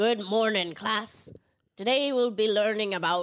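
At a moderate pace, a woman puts on a raspy character voice pitched fairly high.

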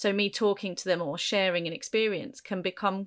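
On a very clean recording with a silent background, a woman with a southern English accent talks at a moderate pace. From Kent, England. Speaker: podcast host and teacher. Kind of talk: interview.

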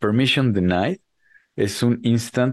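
At a fairly slow pace, a man speaks in an ordinary speaking voice with lively intonation, the sound dry and close with no echo against a quiet background. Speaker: podcast co-host. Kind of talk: casual chat.

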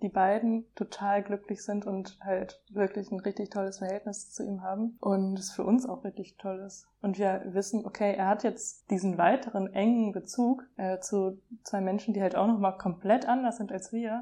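A woman with a dark, mellow tone talks at a moderate pace with hardly any pauses. Her medium-pitched delivery is monotone and flat. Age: 20s. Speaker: young mother. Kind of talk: casual chat. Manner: hesitant, many fillers.

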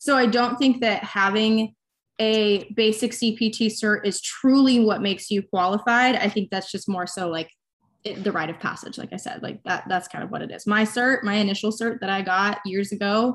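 A woman with an ordinary speaking voice talks at a moderate pace and a fairly high pitch, with fairly even intonation. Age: 20s. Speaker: online fitness coach. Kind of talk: casual interview.

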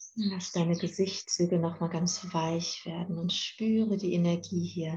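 Somewhat breathy, a woman speaks at a fairly low pitch in a dark, mellow, soothing tone. Her intonation stays monotone and flat. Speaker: podcast host and meditation guide. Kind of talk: guided meditation, calm instructions addressed to 'you'. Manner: slow, soft, soothing, with long pauses; gentle and calm.

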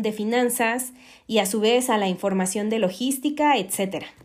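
Speaking at a fairly slow pace, a woman with a Mexican accent uses a fairly high pitch and ordinary pitch variation. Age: 20s. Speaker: podcast host, SAP consultant. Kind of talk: solo podcast monologue.

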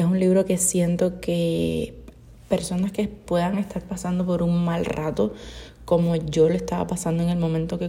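Noticeable background noise sits behind a woman's fairly low voice. Her intonation is monotone and flat. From Cuba. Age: 20s. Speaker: podcaster. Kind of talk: casual monologue.

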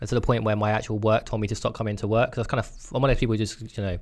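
A man with a British accent talks at a very fast pace and a fairly low pitch. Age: 20s. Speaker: podcast co-host. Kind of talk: casual chat.

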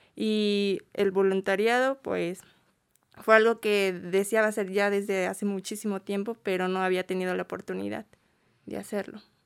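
A woman at a medium pitch and moderate pace with monotone, flat intonation, recorded dry and close with no echo on a very clean track with a silent background. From State of Mexico. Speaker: migrant shelter volunteer. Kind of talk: interview. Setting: studio.

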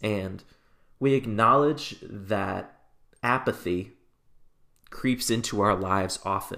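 A man speaks in a solemn tone at a medium pitch, with ordinary pitch variation. The recording is very clean, with a silent background. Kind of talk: fervent, earnest spoken prayer led for listeners, with a reverent tone. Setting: solo podcast recording. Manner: earnest and heartfelt, slow and solemn.

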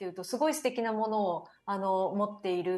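The backdrop stays quiet. A woman's speech moves fairly quickly. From Japan, Mie Prefecture (Owase, fishing and forestry town). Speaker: startup founder and CEO. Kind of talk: interview. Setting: remote call. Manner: formal.

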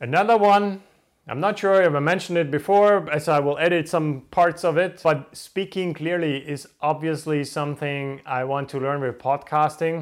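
A man with a fairly high-pitched voice and a non-native accent, on a very clean recording with a silent background. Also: ordinary pitch variation, moderate pace. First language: not English. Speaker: podcast host. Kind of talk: solo motivational monologue to camera. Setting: home recording in front of camera. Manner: trying to sound energized.

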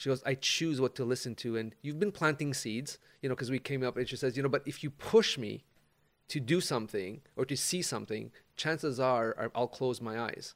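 In a very clean recording over a silent background, a man uses a plain, everyday voice at medium pitch, with ordinary pitch variation and a fairly quick pace. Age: 50s. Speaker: life coach. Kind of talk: casual chat.

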